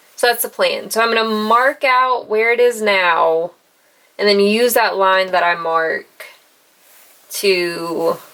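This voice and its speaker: Speaking in a Southern US accent, a woman keeps a very slow pace with long, frequent pauses and very even loudness. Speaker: sewing and crafts youtuber. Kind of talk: on-camera sewing tutorial.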